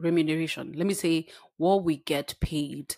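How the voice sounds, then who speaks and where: The recording is very clean and the background silent. A woman talks at a fairly low pitch. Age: 30s. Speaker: podcast host. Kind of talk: casual monologue.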